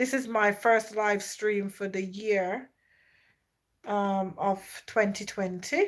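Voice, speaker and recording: A woman of medium pitch speaks at a very slow pace with a Jamaican accent, leaving long, frequent pauses. Her intonation is fairly even, and the recording is very clean with a silent background. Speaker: YouTuber live streamer. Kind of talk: casual live stream chat.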